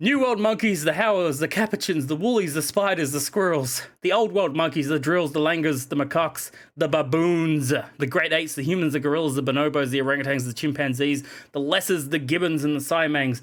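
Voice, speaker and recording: In a very clean recording with a silent background, a man with an Australian accent speaks at a fairly high pitch and fairly quick pace with ordinary pitch variation. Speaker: video game streamer. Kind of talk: casual live-stream chat. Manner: animated.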